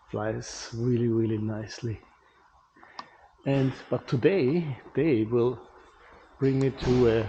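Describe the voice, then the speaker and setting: The speaker has a non-native accent and talks at a very slow pace. Noticeable background noise runs underneath. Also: man, long, frequent pauses. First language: not English. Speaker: pilot and aerial cinematographer. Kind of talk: casual vlog talk.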